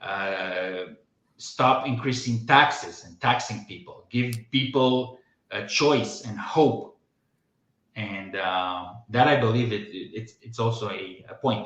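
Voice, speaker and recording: With a Romanian accent, a man speaks at a very slow pace and medium pitch, with ordinary pitch variation and big swings in loudness, in a space with audible room echo. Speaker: podcast host. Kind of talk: casual chat. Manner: halting.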